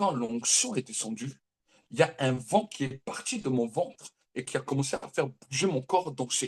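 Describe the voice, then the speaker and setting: This man's voice is fairly high in pitch and somewhat breathy, with an animated tone. His intonation is lively, and the sound is dry and close with no echo. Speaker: prophet preacher. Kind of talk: sermon.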